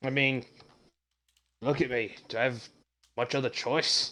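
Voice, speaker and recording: Using a raspy put-on character voice, a man speaks at medium pitch and a moderate pace. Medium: actual play.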